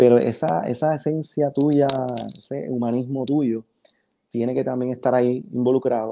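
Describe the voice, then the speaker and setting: At a fairly slow pace, a man talks in a dark, mellow tone with ordinary pitch variation against a quiet background. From Panama. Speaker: photographer; podcast guest. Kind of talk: casual interview chat. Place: home room.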